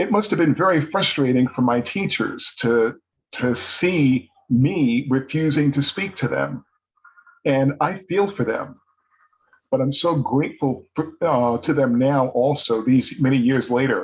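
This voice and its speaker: A man speaks with a somewhat breathy voice pitched fairly high. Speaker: toastmasters speaker, paralegal. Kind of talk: prepared speech.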